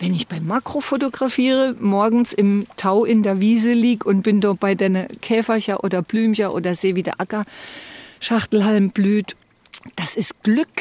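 The speaking voice is unremarkable. Its pitch varies in an ordinary way, and the pace is moderate. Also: woman, fairly high pitch for a woman. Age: 60s. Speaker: retiree interviewee, former secretary. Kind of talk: interview, personal story.

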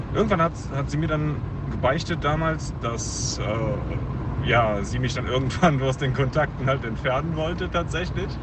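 Fairly slow speech from a man amid noticeable background noise and audible room echo. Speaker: listener sending a voice message. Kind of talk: recorded voice message story. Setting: phone voice message. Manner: halting.

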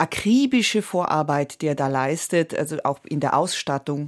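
On a very clean recording with a silent background, a woman with an Italian accent speaks at a fairly slow pace. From Switzerland, Italian-speaking Graubünden. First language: Italian (speaking German). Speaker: stage and film actress. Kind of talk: radio interview.

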